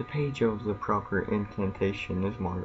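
A man speaks at a fairly low pitch and a fairly slow pace. Noticeable background noise runs underneath. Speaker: gaming YouTuber. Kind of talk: casual gameplay commentary. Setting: home recording, gameplay video. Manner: casual, reactive, mumbling asides.

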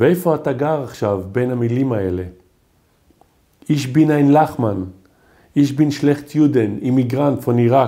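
A man with a dark, mellow tone speaks at a very slow pace, with long, frequent pauses and ordinary pitch variation. The background is quiet. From Israel, Haifa. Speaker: poet. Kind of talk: poetry reading. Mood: calm, reflective delivery. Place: home room.

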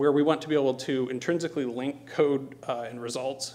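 Speaking at a moderate pace, a man keeps a medium pitch with ordinary pitch variation.

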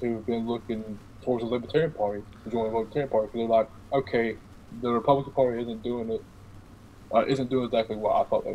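A man at medium pitch rushes along at a very fast pace in a monotone, flat intonation. Light background noise is present. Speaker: podcast guest, law student; podcast guest. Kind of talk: casual chat. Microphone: video call.

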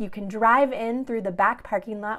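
This woman's pitch varies in an ordinary way. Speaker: pastor. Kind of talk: worship welcome and announcements. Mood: warm, friendly. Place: home room. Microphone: phone near.

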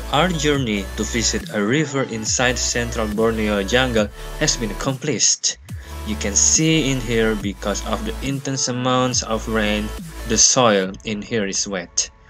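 The speech moves at a fairly slow pace while music plays clearly in the background. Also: man. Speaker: travel vlogger. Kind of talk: casual vlog chat. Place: waterside. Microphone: phone near.

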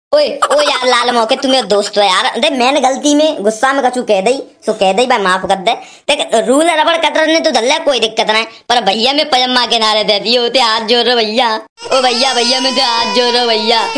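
Putting on a whiny character voice, a woman speaks at a high pitch and a fairly quick pace. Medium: cartoon. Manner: pleading, whiny, rambling.

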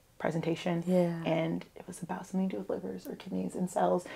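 Here a woman talks at a very fast pace. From upstate New York. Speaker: podcast guest, university staff member. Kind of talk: casual, conversational. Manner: fast talker, speaks quickly especially when excited. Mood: warm, candid, lightly amused. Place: studio. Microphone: lapel.

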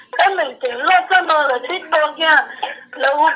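Over faint music in the background, the voice is raised and projected. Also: woman. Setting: phone call.

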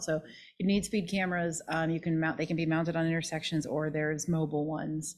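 This woman's speech moves at a very fast pace. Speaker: planning and zoning official; council presenter. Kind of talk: explanatory presentation; presentation to council. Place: meeting room. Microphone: podium.

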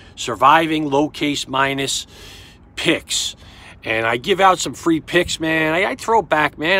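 Here a man speaks with a New York accent at a moderate pace. His tone is bright and sharp. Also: dry sound with no echo. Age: 50s. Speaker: sports betting tipster. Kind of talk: casual monologue to camera. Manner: halting, repetitive stammering. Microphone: phone near.

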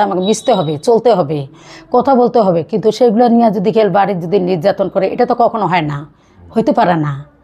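This woman's voice sits fairly high in pitch. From Bangladesh, Parbatipur (Dinajpur, north); Bangladesh. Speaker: divorced mother seeking remarriage; vlogger sharing personal story. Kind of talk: personal testimony interview. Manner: halting. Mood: earnest, emotional personal account. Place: home room. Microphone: phone near.

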